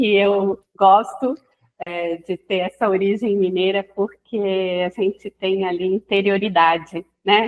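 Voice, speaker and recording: Very slow and monotone, with flat intonation, a woman speaks at a medium pitch. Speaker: psychoanalyst. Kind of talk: casual podcast interview.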